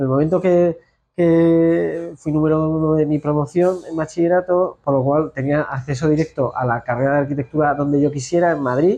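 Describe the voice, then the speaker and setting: A man with a Castilian accent, his tone dark and mellow, fairly high in pitch, at a moderate pace and very even loudness against a quiet background. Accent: central Spanish (Castilian). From Spain, La Mancha (Ciudad Real). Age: 40s. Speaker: architect, institute director. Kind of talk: interview. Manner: halting, with frequent repetitions.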